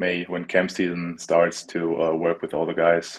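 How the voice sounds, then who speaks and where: With a German accent, a man speaks at a very deep, low pitch over a quiet background. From Germany, Berlin; Germany. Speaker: American football player; guest. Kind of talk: interview. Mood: relaxed, earnest. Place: home room. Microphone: video call.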